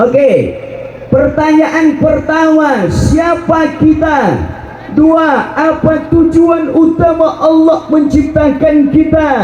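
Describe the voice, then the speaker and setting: A man with a West Javanese accent talks very slowly at an extremely high pitch, in a monotone, flat intonation. His loudness stays very even, and noticeable background noise is present. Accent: Sundanese. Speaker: Islamic preacher. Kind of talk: religious sermon to live audience. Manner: humorous, joking.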